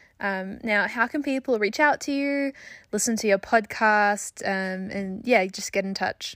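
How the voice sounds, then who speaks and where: A woman with an Australian accent speaks at a fairly slow pace in a fairly high pitch. Her pitch variation is ordinary, on a very clean recording with a silent background. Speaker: podcast host and junior doctor. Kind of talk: interview; scripted intro.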